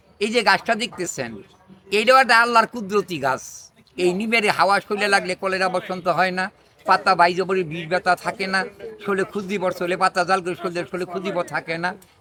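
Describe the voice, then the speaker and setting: Over noticeable background noise, a man speaks at a high pitch in a raised, projected voice. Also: ordinary pitch variation. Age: 80s+. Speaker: traditional healer. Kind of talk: direct-to-camera public appeal. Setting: outdoors under a neem tree.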